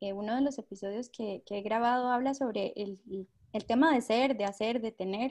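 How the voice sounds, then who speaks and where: A woman with a fairly high pitch and fairly even intonation, a plain, everyday voice. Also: moderate pace. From Costa Rica. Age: 20s. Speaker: minimalism podcaster. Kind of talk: casual chat.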